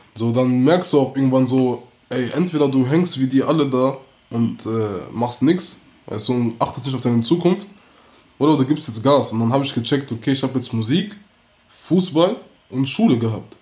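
A man talks at a medium pitch with ordinary pitch variation. He has a normal speaking voice. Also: moderate pace. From Bonn, Germany. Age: 18. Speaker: rapper. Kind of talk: casual interview.

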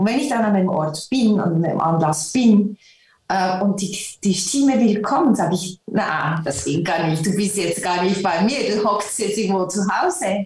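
A plain, everyday voice goes at a moderate pace with ordinary pitch variation. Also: woman, medium pitch for a woman. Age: 50s. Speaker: concert pianist. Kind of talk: interview.

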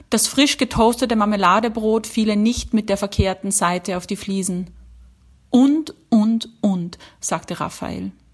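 Somewhat breathy and fairly high, a woman's voice moves at a fairly slow pace with ordinary pitch variation. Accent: Austrian. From Austria. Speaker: writer. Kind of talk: reading aloud.

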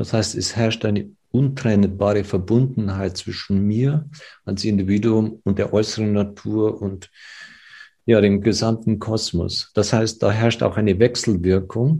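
With a fairly low pitch and a dark, mellow tone, a man speaks at a fairly slow pace, somewhat breathy and with fairly even intonation, against a quiet background. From Germany, village. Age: 60s. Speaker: physician and ayurveda expert. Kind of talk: interview.

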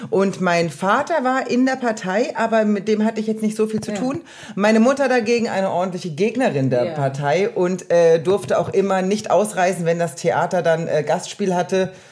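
A woman talks at a moderate pace with medium pitch and lively intonation, hardly pausing at all. Noticeable background noise sits behind her. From East Germany. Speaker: artist. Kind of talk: casual chat.

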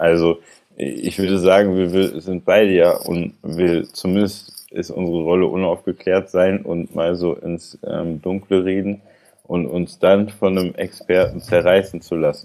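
A man's very deep, low voice, dark and mellow in tone, with fairly even intonation and a fairly slow pace. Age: 20s. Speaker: podcast co-host, former social worker. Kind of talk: casual chat.

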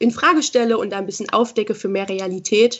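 In a normal speaking voice, the speaker goes at a fairly quick pace with fairly even intonation. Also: woman. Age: 20s. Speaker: school social worker and body-positivity coach. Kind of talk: interview.

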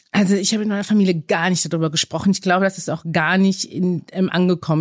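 Talking at a very fast pace, a woman with a medium-pitched voice keeps her intonation fairly even, and the sound is dry and close with no echo. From Germany and Belgium. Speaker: aid organisation staff member. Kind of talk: interview. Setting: office studio.

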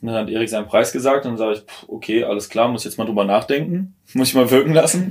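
Talking at a very fast pace, a man has a medium pitch. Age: 20s. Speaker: former coaching client. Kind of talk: casual chat. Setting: in a tiny house.

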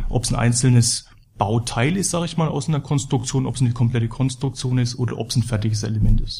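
At a very fast pace, a man speaks in a somewhat breathy, dark, mellow voice at medium pitch with ordinary pitch variation. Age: 30s. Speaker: building materials company employee. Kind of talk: corporate podcast interview.

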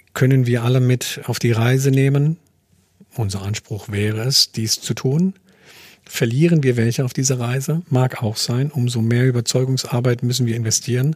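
A man speaks at a moderate pace with a somewhat breathy, medium-pitched voice. His intonation is fairly even, and the sound is dry and close with no echo. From francophone Africa. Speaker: company CEO. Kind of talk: interview. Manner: hesitant, many filler sounds.

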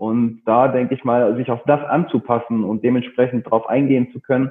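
A man has an ordinary speaking voice at medium pitch. He talks at a fairly quick pace. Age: 30s. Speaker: personal trainer and gym owner. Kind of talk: interview.

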